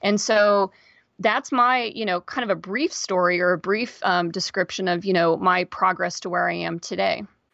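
At a moderate pace, a woman with a General American accent talks at medium pitch with ordinary pitch variation and vocal fry, in a dry, close sound with no echo over a quiet background. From Kansas, US. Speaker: podcast host. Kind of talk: interview.

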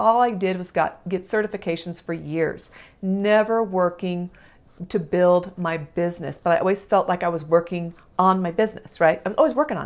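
At a moderate pace, a woman talks at a medium pitch in an unremarkable speaking voice. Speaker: podcast host and business mentor. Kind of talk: solo podcast monologue, coaching talk. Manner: casual, warm, filler words; encouraging, motivational.

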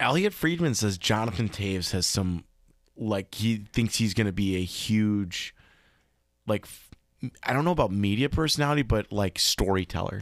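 A man with a fairly low pitch speaks at a moderate pace with lively intonation. The recording is very clean, with a silent background. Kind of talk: casual chat.

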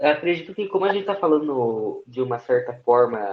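A normal speaking voice from a man, lively in intonation, at a moderate pace. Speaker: live stream participant. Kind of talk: casual chat. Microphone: voice too quiet.

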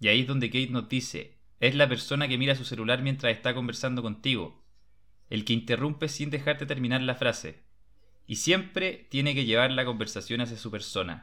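A man talks at a fairly quick pace. He has a plain, everyday voice. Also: medium pitch for a man, ordinary pitch variation. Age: 20s. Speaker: podcast host. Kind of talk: book discussion chat.

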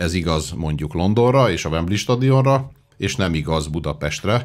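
A man's voice, very deep and low in pitch. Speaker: sports editor-in-chief.

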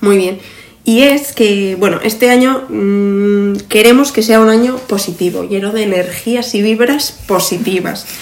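Amid noticeable background noise and audible room echo, a woman speaks at a medium pitch and fairly slow pace with ordinary pitch variation. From Zaragoza, Spain. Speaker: podcast co-host, industrial design engineer. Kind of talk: casual chat. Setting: seated at a table.

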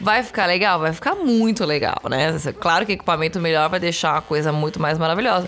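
Over noticeable background noise, a woman with a fairly low pitch speaks at a fairly quick pace, using ordinary pitch variation and very even loudness. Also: hardly any pauses. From Brazil, São Paulo city. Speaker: bassist, singer and songwriter. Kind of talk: casual chat.

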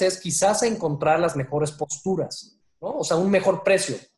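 A man with a Mexican accent talks in a high pitch. His pace is moderate. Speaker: stock exchange executive. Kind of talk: interview. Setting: video call.

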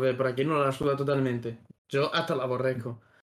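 A man speaks at a medium pitch with fairly even intonation. It is a plain, everyday voice. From Extremadura, Spain. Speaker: podcast host. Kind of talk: casual chat.

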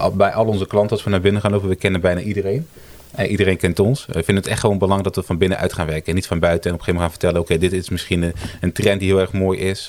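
A man speaks at a very fast pace with fairly even intonation and a very deep, low pitch. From Italy. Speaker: brand designer, agency co-founder. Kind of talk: casual interview chat. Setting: around a table in person.

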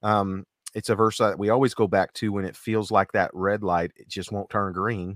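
With a plain, everyday voice, a man speaks at a fairly low pitch and a moderate pace, his intonation fairly even, in a very clean, dry, close recording with no echo and a silent background. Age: 40. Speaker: podcast co-host and gospel singer. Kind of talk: casual chat.

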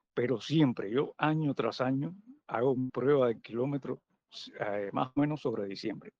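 This is a man with an unremarkable speaking voice. He keeps a moderate pace and an ordinary pitch variation. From Cuba, Matanzas. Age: 50s. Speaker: veteran amateur runner. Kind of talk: casual chat. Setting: outdoors in a park.

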